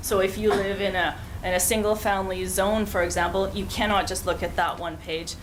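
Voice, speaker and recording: Audible room echo and noticeable background noise run through the clip. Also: woman. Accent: Canadian. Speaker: urban planning consultant. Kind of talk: council presentation. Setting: council chamber meeting.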